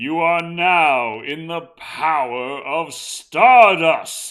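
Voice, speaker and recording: In a put-on character voice, a man booms at a fairly high pitch with a dramatic tone and a very slow pace. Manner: booming, dramatic.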